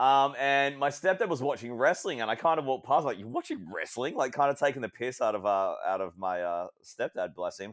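On a very clean recording with a silent background, a man with an Australian accent moves at a fairly quick pace, with lively intonation and hardly any pauses. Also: fairly high pitch for a man. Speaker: wrestling and basketball commentator. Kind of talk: casual interview chat.

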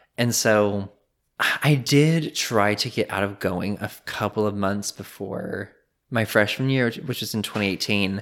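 A man with a plain, everyday voice speaks at a fairly slow pace in a fairly low pitch with ordinary pitch variation. The recording is very clean, with a silent background. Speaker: podcast creator, former Bible college student. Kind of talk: casual interview chat. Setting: in person in host's home.

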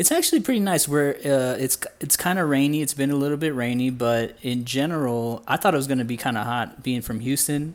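A man with an unremarkable speaking voice and an American accent talks at a fairly quick pace with hardly any pauses. His pitch is fairly high, with ordinary pitch variation. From US Midwest, Indiana. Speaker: illustrator, former engineer. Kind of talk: interview conversation.

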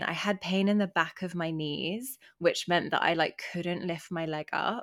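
In an English accent, a woman talks fairly slowly at a fairly low pitch with fairly even intonation, recorded very cleanly against a silent background. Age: young. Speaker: podcast co-host. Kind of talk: casual chat.

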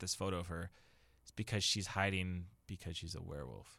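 Speaking with a Canadian accent, a man talks at a fairly quick pace in a bright, sharp tone. The recording is very clean, with a silent background. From Kitchener-Waterloo, Ontario, Canada. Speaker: podcast co-host. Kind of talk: casual chat.

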